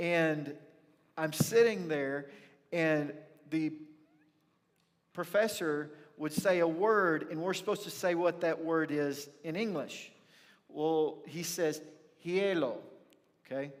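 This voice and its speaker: A man speaks very slowly with an American accent. Long, frequent pauses and audible room echo mark the clip. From rural north Texas (near Pilot Point). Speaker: pastor. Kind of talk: sermon. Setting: church. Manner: animated storytelling.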